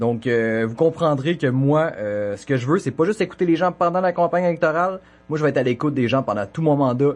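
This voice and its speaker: A man with a normal speaking voice talks at a fairly quick pace with lively intonation against a quiet background. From Quebec, Côte-Nord (Sept-Îles). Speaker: municipal election candidate. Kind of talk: debate opening statement.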